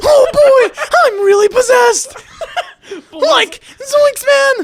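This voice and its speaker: A man puts on a character voice at extremely high pitch. He delivers it at a very slow pace. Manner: mocking.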